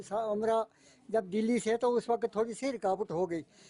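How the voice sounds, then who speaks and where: Recorded dry and close with no echo, a man speaks in a dark, mellow tone at an extremely high pitch. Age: 70s. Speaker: elderly villager. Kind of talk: interview.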